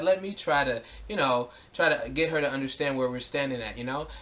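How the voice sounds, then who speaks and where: Noticeable background noise accompanies a man talking at a very fast pace. His voice sits fairly high, with ordinary pitch variation. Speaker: activist vlogger. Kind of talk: personal video explanation. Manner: halting, many repeats and fillers; loud.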